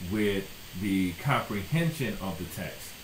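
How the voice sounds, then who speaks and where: Amid noticeable background noise and audible room echo, a man with an American accent speaks at a fairly slow pace. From US South (South Florida). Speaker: educator, YouTuber. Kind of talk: casual talk to camera.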